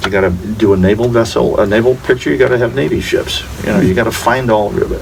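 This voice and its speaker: With an American accent, a man talks very fast at very even loudness over noticeable background noise and audible room echo. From Florida Keys, US. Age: 70s. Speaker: actor. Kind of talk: casual interview.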